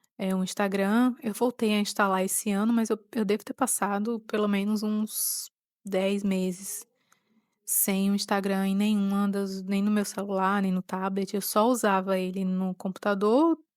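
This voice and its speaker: This woman has a Pernambuco accent and a medium pitch. The recording is very clean with a silent background and a dry, close sound with no echo. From Pernambuco, Brazil. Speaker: podcaster. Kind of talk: personal reflective monologue. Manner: halting.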